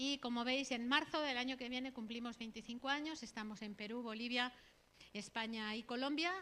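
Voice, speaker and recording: With a Catalan accent, a woman speaks at a moderate pace in a high, bright, sharp voice with fairly even intonation. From Catalonia, Spain (Barcelona area). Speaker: missionary. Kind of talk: sermon / missionary talk. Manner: conversational, frequent tag questions.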